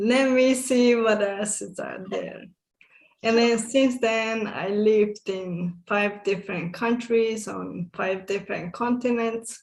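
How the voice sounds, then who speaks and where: A woman with a Hungarian accent, fairly high in pitch, at a very slow pace with fairly even intonation. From Hungary, small village. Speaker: summit guest speaker. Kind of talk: interview.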